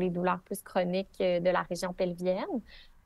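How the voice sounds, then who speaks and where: A woman with a Quebec accent at a moderate pace, her sound dry and close with no echo. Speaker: pelvic physiotherapist. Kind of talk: podcast interview.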